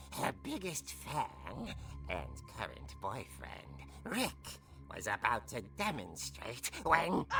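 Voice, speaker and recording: Using a put-on character voice, a man speaks in a theatrical tone at a very slow pace. Clear music plays in the background. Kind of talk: horror anthology narration. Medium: video game. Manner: theatrical, relishing.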